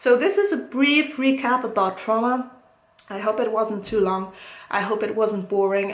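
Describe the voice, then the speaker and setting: A woman speaks at fairly high pitch. There is audible room echo and noticeable background noise. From Italy. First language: Italian. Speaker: psychologist. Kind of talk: educational talk to camera. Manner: hesitant, many fillers.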